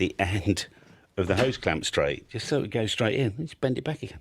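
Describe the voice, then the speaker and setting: An unremarkable speaking voice belongs to a man talking at a fairly quick pace with ordinary pitch variation. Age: 60s. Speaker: antenna maker. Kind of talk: casual chat.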